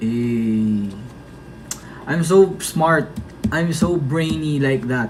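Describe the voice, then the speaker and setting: Amid noticeable background noise, a man speaks very slowly at a fairly high pitch with lively intonation and long, frequent pauses. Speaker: idol group member livestreaming to fans. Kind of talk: casual livestream chat reading comments. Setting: TikTok live stream.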